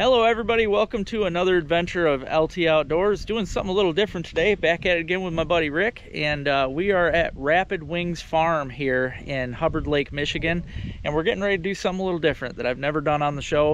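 A man with a high pitch rattles along at a very fast pace with hardly any pauses and ordinary pitch variation, in a dry recording with no echo and light background noise. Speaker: outdoor vlogger. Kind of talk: casual vlog chat. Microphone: phone near.

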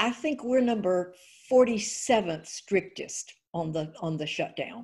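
A woman speaks at a very slow pace with lively intonation against a quiet background. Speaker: candidate. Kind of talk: interview answer. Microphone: video call.

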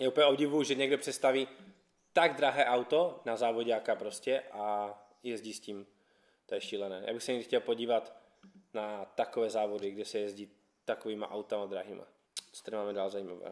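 Against a quiet background, a man of medium pitch talks at a fairly quick pace with ordinary pitch variation, big swings in loudness and long, frequent pauses. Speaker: YouTube car channel host. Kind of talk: casual vlog presentation. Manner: casual, upbeat. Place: garage.

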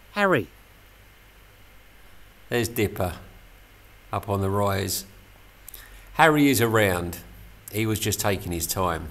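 A man speaks at a fairly slow pace with long, frequent pauses. His pitch is fairly low, with ordinary variation. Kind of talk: casual vlog narration. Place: street. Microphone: phone near.

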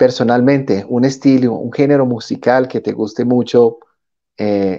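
The background is quiet behind this man. His tone is dark and mellow. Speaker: interviewer. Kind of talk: interview. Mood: warm, upbeat. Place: home room. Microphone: earbuds.

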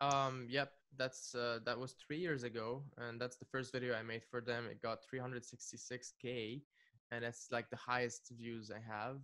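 With a bright, sharp tone, the voice moves at a fairly slow pace in monotone, flat intonation. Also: man, medium pitch for a man. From Lebanon. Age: 20s. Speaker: music producer and YouTuber; interview host. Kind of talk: casual chat. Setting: video call. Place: studio. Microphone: studio mic.

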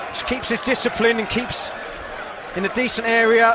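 Noticeable background noise runs under a man speaking at a fairly quick pace. His voice is high-pitched. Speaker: football pundit. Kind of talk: live football co-commentary, analytical. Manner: measured, analytical, fluent.

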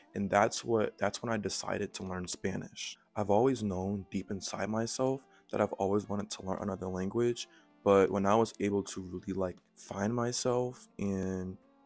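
A man with an American accent, fairly low in pitch, at a moderate pace with fairly even intonation and faint music in the background. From Mableton, Georgia, USA. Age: 20s. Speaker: vlogger. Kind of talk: casual talk to camera. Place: home room. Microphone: handheld.

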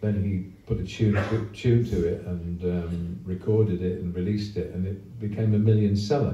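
There is audible room echo and light background noise. A man speaks in a fairly low pitch with fairly even intonation. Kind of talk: onstage song introduction. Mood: relaxed, humorous. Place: stage. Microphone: pa.

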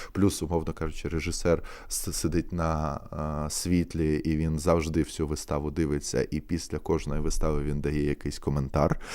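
Speaking with hardly any pauses at a moderate pace, a man uses a very deep, low pitch and a dark, mellow tone, his intonation monotone and flat. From eastern Ukraine, Mariupol. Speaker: theatre actor. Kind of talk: casual interview. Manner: hesitant, many fillers.

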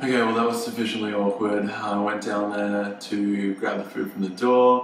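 In a room with audible echo and light background noise, a man talks in a fairly low pitch with a monotone, flat intonation. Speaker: food vlogger. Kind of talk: casual vlog chat. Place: home room.

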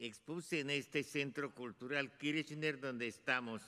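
Against a quiet background, a man talks at a fairly slow pace with a bright, sharp tone and fairly even intonation. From Hungary and Romania (Transylvania). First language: Hungarian (speaking Spanish). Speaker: Holocaust survivor and artist. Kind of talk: testimony. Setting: stage with audience. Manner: halting. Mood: solemn, commemorative. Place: hall. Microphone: podium.

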